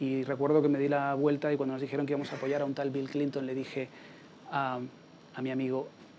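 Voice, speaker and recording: A man speaks at a fairly high pitch in a Canarian accent, at a fairly quick pace with a monotone, flat delivery. Long pauses come often, and there is noticeable background noise. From Canary Islands, Spain. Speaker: political campaign strategist. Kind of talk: Q&A after a talk.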